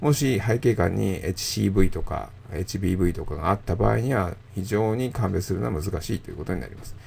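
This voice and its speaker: Lively intonation and big swings in loudness come through alongside vocal fry. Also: man, very deep, low pitch for a man, moderate pace. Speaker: radiologist. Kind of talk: lecture. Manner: calm, measured with frequent filler pauses.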